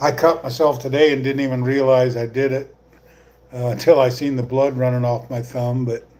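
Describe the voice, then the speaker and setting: Flat, monotone speech from a man at a medium pitch and moderate pace, with noticeable background noise. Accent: American. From US Midwest, northwest Iowa. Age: 60s. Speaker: YouTuber, retiree. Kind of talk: live stream chat. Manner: casual, halting with fillers.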